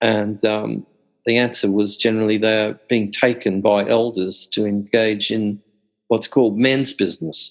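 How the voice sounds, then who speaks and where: A speaker with an Australian accent talks at a fairly slow pace with fairly even intonation over a quiet background. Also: man. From central Australia. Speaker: Jungian scholar. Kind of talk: interview.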